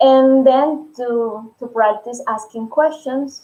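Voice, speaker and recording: A woman's dark, mellow tone with a Spanish accent, very slow in pace, with ordinary pitch variation. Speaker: Spanish teacher. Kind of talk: live stream tutorial. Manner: halting.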